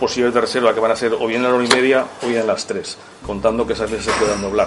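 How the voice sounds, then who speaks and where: A man at medium pitch talks at a very fast pace in a flat monotone. Noticeable background noise runs underneath. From Spain, Barbastro (Aragon). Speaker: restaurant owner. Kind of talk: press presentation. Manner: hesitant, many fillers.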